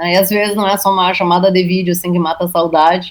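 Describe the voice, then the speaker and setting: A woman speaks with a strong gaúcho accent. Her medium-pitched voice keeps fairly even intonation. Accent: thick Alegrete gaúcho. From Brazil, Alegrete, Rio Grande do Sul. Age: 40s. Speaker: journalist and writer. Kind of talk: interview. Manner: halting.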